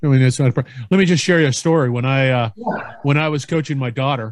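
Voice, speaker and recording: A man's ordinary speaking voice, medium-pitched, with ordinary pitch variation. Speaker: podcast host. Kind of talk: casual interview chat. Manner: chatty, upbeat.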